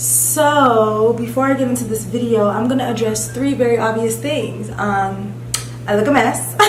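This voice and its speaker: A woman speaks at a medium pitch with very wide pitch swings. Her voice has audible room echo and noticeable background noise. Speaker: beauty vlogger. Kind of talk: casual vlog tutorial. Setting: empty beauty room. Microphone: echo, mic not set up.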